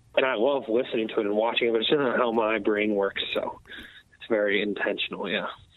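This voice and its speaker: Noticeable background noise sits under the speech. The words rush by very fast with fairly even intonation. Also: man, medium pitch for a man. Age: 20s. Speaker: metal band musician and vocalist. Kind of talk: casual interview.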